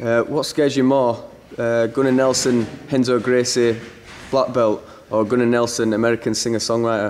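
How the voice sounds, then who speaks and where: A man with a Yorkshire accent speaks at a moderate pace in a monotone with flat intonation. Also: medium pitch for a man, very even loudness. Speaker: sports interviewer. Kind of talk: interview questions.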